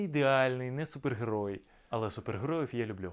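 A man with a medium-pitched voice is heard on a very clean recording with a silent background. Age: 30s. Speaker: actor. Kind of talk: self-presentation video.

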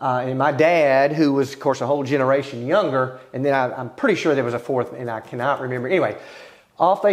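In a Texan accent, a man talks with a fairly high voice. The background is quiet. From Tomball, Texas. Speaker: oral history interviewee. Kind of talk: oral history interview answer. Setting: museum. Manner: hesitant, storytelling. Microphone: lapel.

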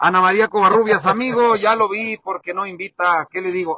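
With an animated tone, a man talks at a moderate pace in a dry sound with no echo. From Mexico, Durango (Los Llanos region). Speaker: local online show host. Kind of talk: live roving broadcast. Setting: outdoors at a village fair, wireless mic, partly in a vehicle. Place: street. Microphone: phone near.

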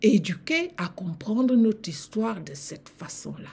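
Somewhat breathy and dark, mellow in tone, a woman with a Cameroonian accent speaks at a very slow pace with very wide pitch swings. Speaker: lecturer and channel host on African history and civilizations. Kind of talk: lecture. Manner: formal; didactic. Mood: warm, earnest. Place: home room. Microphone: webcam.

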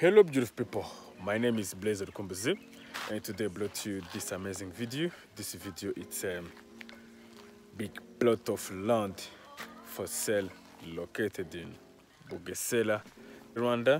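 Faint music plays behind a man with a fairly low pitch who speaks at a moderate pace with ordinary pitch variation and long, frequent pauses, in a dry sound with no echo. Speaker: land sale vlogger. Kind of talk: casual vlog presentation. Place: open country. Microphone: phone near.

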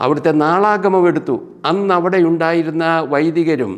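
This is an unremarkable speaking voice with ordinary pitch variation over a quiet background. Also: man. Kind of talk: storytelling talk.

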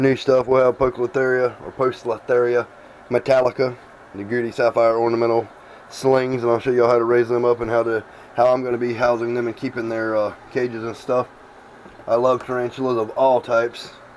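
A man speaks fairly quickly in a monotone, flat intonation over light background noise. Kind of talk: casual vlog chat. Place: home room. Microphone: phone near.

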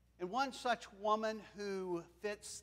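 A male voice with normal variation in pitch. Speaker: preacher. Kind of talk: sermon. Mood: warm, lightly humorous. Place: church. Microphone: lapel.

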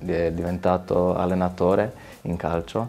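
This man's pitch is very deep and low. He speaks very slowly. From Slovenia, near Gorizia; Slovenia. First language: Slovene (speaking Italian). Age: 20s. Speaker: footballer; interviewee. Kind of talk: interview. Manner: halting. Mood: calm, friendly, reflective. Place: studio. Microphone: lapel.

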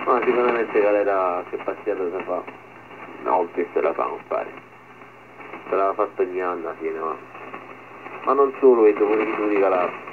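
Over noticeable background noise, a man with a strong Sicilian accent talks at a fairly quick pace broken by long, frequent pauses. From Sicily. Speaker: fisherman. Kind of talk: casual radio chat. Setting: marine radio. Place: boat. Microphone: two way radio.

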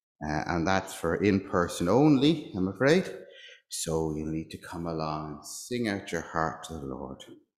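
A man speaks very deep and low, with very wide pitch swings, at a fairly slow pace. Room echo is audible over a quiet background. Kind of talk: church notices and liturgy. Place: church. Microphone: lapel.

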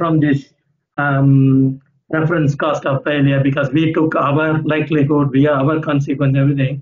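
At a moderate pace, a man with an ordinary speaking voice talks at a fairly high pitch. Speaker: utility engineer. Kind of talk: audience question. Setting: video call.

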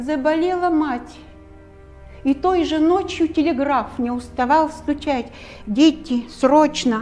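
Over background music, a woman with a high pitch speaks very slowly, her pitch varying in an ordinary way. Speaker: stage actress. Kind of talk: poetry reading. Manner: emotional, heartfelt.

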